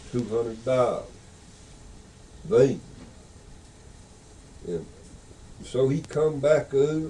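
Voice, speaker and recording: A somewhat breathy man in a Southern Appalachian accent, fairly high-pitched, very slow, with ordinary pitch variation and long, frequent pauses. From Beech Mountain, North Carolina. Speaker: storyteller. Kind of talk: folk tale telling. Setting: audio cassette recording.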